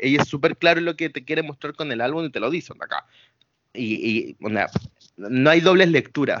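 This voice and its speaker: A man talks in a Chilean accent. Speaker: podcast co-host. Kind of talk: casual chat. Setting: remote recording from home.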